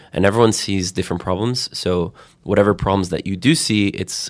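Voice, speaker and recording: A man with a plain, everyday voice and an American accent speaks at a fairly quick pace with fairly even intonation. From Florida, US. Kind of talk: interview conversation.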